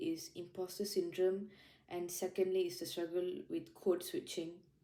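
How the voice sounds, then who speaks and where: Speaking at a moderate pace with a Malaysian accent, a woman uses a medium pitch and a dark, mellow tone. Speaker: junior lawyer. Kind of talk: interview reflection.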